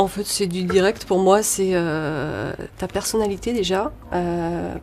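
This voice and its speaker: Noticeable background noise sits under the recording. Over it, a woman speaks at a very slow pace. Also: medium pitch for a woman, ordinary pitch variation. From France, Lyon. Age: 40s. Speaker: actress and model. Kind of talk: interview. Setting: studio. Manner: hesitant, many fillers.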